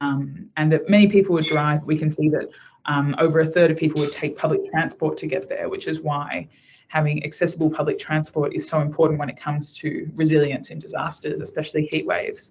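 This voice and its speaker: Somewhat breathy and very deep, a woman speaks at a fairly quick pace with an Australian accent and fairly even intonation. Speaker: researcher presenting at a webinar. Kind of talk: online presentation. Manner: fast.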